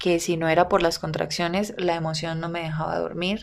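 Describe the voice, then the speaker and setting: A woman's fairly low voice at a moderate pace. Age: 20s. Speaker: podcast host and content creator. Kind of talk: personal storytelling monologue.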